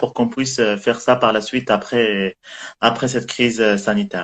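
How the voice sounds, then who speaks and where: A man with a plain, everyday voice speaks at a moderate pace in a medium pitch. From Morocco (Tangier). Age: 20s. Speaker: guest. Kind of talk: casual chat.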